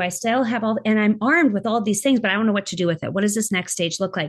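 Somewhat breathy and animated, a woman talks very fast at a fairly high pitch with ordinary pitch variation against a quiet background. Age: 50s. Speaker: podcast host and life coach. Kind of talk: interview guest, personal story.

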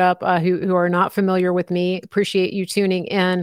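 In an American accent, a woman speaks at medium pitch and a fairly quick pace with monotone, flat intonation, the sound dry and close with no echo. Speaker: independent journalist and commentator. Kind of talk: live interview. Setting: live stream.

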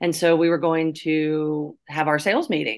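This woman has an ordinary speaking voice with fairly low pitch. She talks at a fairly slow pace. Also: quiet background. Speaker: podcast co-host. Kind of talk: casual interview chat.

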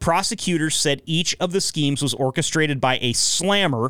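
A man with an American accent and an ordinary speaking voice, fairly high in pitch with ordinary pitch variation at a moderate pace, in a very clean, dry, close recording with no echo and a silent background. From Northeast Oregon.

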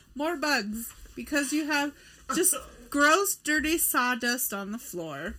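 A woman with a high pitch and a bright, sharp tone speaks at a very slow pace in a raised, projected voice with lively intonation. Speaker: podcast co-host. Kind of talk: casual chat. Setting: studio.

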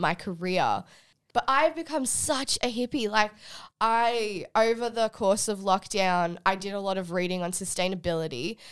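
Lively intonation comes through in an Australian accent at a fairly slow pace, on a very clean recording with a silent background. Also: woman. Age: 20s. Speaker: recent university graduate. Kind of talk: casual chat.

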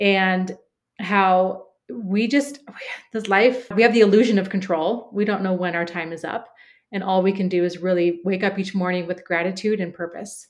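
At a moderate pace, a woman with an American accent speaks at medium pitch and fairly even intonation. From Oregon, US Pacific Northwest. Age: 40s. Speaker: business coach. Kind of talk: interview.

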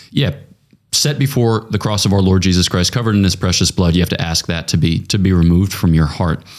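Speaking at a very fast pace, a man with a very deep, low pitch keeps his loudness very even and his pitch variation ordinary in a very clean recording with a silent background. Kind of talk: casual chat about faith.

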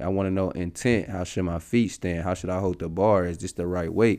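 A man with an American accent speaks at a fairly quick pace against a quiet background. He has an unremarkable speaking voice, fairly low in pitch with fairly even intonation. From US Midwest, St. Louis area. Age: 30s. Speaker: professional basketball player. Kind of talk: casual interview.

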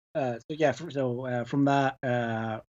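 The speaker is a man. He has a Glasgow accent. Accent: Scottish (Glaswegian). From Glasgow, Scotland. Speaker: podcaster and movie fan. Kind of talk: casual chat.

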